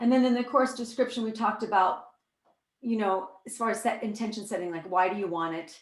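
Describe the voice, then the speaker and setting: A woman with an American accent, fairly high pitch, an animated tone and ordinary pitch variation. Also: fairly quick pace, big swings in loudness. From US Midwest, Iowa. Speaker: workshop leader, spiritual teacher. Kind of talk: online workshop talk. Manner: fast.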